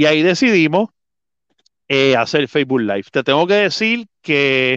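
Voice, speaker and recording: At a fairly slow pace, a man speaks in a normal speaking voice with ordinary pitch variation. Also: quiet background. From Puerto Rico, Adjuntas (mountain region). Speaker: volleyball commentator and play-by-play announcer. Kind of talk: casual interview chat.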